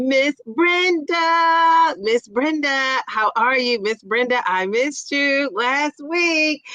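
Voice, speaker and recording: In a raised, projected voice, a woman speaks with an animated tone and high pitch that swings very widely, her dry, close sound with no echo set against noticeable background noise. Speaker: YouTube livestream host. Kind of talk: casual livestream chat.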